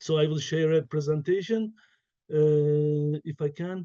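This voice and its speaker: A man with a fairly high pitch and a dark, mellow tone, speaking at a fairly slow pace in a Turkish accent, the sound dry and close with no echo. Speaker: professor. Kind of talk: keynote lecture. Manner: halting, many fillers.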